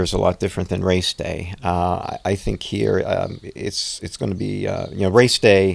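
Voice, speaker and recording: A man with an American accent speaks at a moderate pace, hardly pausing. The recording is very clean, with a silent background. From Pennsylvania, US. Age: 50s. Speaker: triathlete, physician. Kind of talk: interview.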